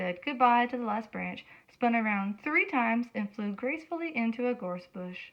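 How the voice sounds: A natural reading voice, its pitch varying in the ordinary way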